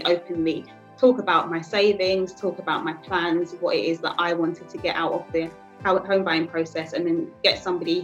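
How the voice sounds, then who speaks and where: A woman with a London accent speaks at a fairly low pitch and a moderate pace, with music in the background. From East London. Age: 20s. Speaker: manager. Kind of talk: interview answer.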